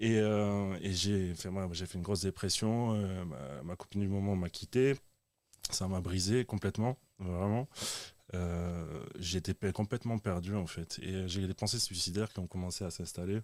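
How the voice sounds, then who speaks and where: A man speaks at a fairly slow pace in a very deep, low voice with ordinary pitch variation. The recording is very clean with a silent background and a dry, close sound with no echo. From southern France, Dutch-born. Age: 30s. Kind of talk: testimony.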